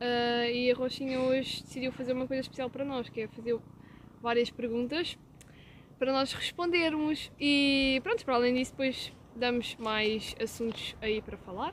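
A woman's high voice in a European Portuguese accent, moderate in pace, with fairly even intonation. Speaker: podcast co-host. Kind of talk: casual chat.

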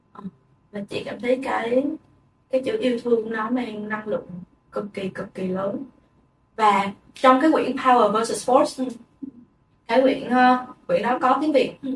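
Long, frequent pauses break up a woman's fairly slow, high-pitched speech. Her pitch varies in an ordinary way while her loudness swings widely. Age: 20s. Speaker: podcast co-host. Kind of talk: casual chat.

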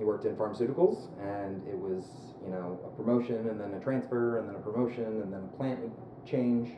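A man with an American accent talks at a fairly quick pace and medium pitch, his intonation fairly even, over noticeable background noise and audible room echo. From US East Coast, mostly Philadelphia. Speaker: app startup founder. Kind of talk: interview conversation.

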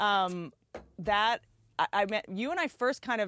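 With an American accent, the speaker uses lively intonation and an animated tone, recorded with a dry, close sound with no echo and a quiet background. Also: woman. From Washington D.C. area, US. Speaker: comedian and podcast host. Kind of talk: casual chat.

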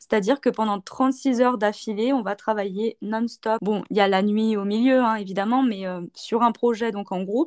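A woman's fairly high voice at a moderate pace with fairly even intonation, dry and close with no echo, in a very clean recording with a silent background. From France, Saint-Étienne. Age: 20s. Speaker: student. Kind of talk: interview. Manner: hesitant, many fillers.

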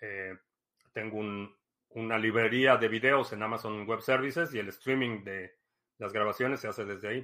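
A man with a Mexican accent, bright and sharp in tone, at a moderate pace with fairly even intonation. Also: medium pitch for a man, very clean recording, silent background. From Mexico. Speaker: livestream host. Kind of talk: casual livestream talk. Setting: live stream.

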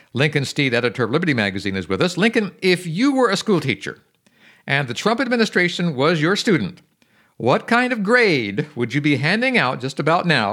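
In a very clean recording with a silent background, a man speaks in a bright, sharp tone with vocal fry and very wide pitch swings. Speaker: radio host. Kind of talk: radio interview.

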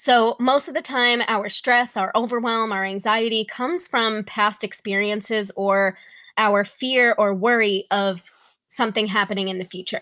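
A woman's fairly high, bright, sharp voice with a New York accent, ordinary pitch variation and a fairly slow pace, on a very clean recording with a silent background. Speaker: wellness podcast host. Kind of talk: solo podcast monologue with guided breathing.

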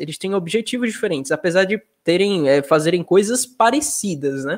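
A man speaks at a moderate pace. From Sergipe, Brazil (Nossa Senhora do Socorro). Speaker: digital artist. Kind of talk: interview.

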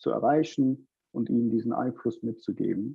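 The man's medium-pitched delivery stays monotone, with flat intonation. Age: 20s. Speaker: startup founder. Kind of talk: interview. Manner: halting, many fillers.

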